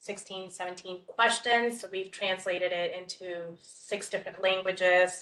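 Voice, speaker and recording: A woman speaks in a flat, monotone way, her tone bright and sharp. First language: not English. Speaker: county immigrant affairs official. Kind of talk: public meeting discussion. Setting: hybrid public meeting with online attendees.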